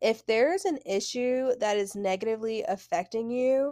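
The recording is very clean and the background silent. A woman's voice is heard at a fairly high pitch. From New York, Brooklyn. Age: 20s. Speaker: podcast host. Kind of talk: casual monologue and advice. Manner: animated.

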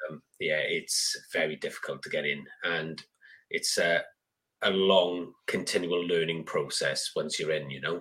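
This speaker has an English accent and talks at a fairly slow pace. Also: man. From UK. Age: 40s. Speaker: gardening YouTuber and author. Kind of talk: casual chat. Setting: video call.

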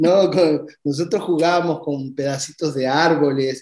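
Fairly slow, fairly even speech from a man with a fairly high pitch and a dark, mellow tone. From Uruguay, Montevideo. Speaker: immigrant sharing life story. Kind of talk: interview.

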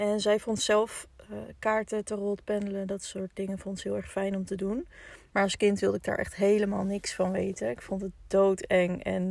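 A woman talks at a moderate pace and a medium pitch, her tone dark and mellow. Her intonation stays monotone and flat. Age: 20s. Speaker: podcast host. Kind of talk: personal storytelling monologue. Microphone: poor sound quality in first episode.

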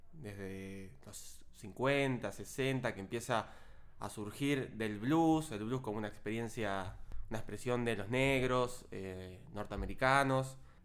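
Audible room echo surrounds a man speaking at a very slow pace. His voice sits at a medium pitch with ordinary variation. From southern Greater Buenos Aires, Argentina. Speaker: podcast co-host. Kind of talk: casual chat.

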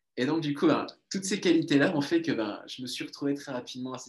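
Speaking at a fairly quick pace, a man with a fairly high pitch uses ordinary pitch variation. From southern France, Toulouse. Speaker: entrepreneur, mastermind group founder. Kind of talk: interview. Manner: halting, many repeated words.

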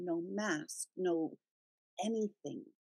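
A woman at medium pitch, with an ordinary speaking voice and ordinary pitch variation, is heard in a dry, close sound with no echo. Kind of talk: guided meditation. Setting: radio show. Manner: slow, soothing and calm; gentle and reassuring, with unhurried pauses.

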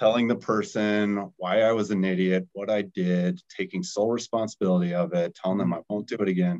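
In an American accent, a man with an unremarkable speaking voice talks at a fairly quick pace, with a fairly low pitch and fairly even intonation. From Colorado, US. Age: 30s. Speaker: startup founder, recovering alcoholic. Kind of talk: casual chat.

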